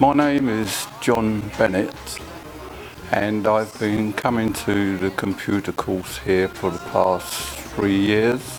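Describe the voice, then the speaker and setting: Over music in the background, a man with a fairly low pitch speaks very slowly, keeping his intonation fairly even. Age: 70s. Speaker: computer course student. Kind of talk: testimony.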